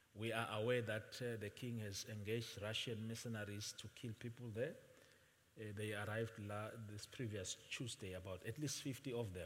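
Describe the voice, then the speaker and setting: At a moderate pace, a man speaks in a somewhat breathy, medium-pitched voice with fairly even intonation. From Swaziland (Eswatini). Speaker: visiting pastor. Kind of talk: sermon. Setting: church with congregation. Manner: soft-spoken.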